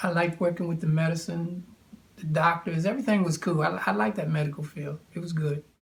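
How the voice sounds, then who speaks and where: Speaking at a very fast pace, a man uses a high pitch with ordinary variation. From Maryland, US (Hagerstown). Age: 70s. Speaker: war veteran. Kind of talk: interview. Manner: halting.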